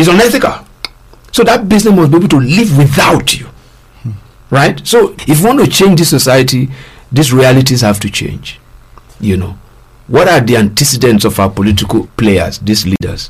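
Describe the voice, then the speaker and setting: With a somewhat breathy, medium-pitched voice, a man swings his pitch very widely and stops often for long pauses. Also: moderate pace. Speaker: resource person on governance talk show. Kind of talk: radio discussion. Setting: studio.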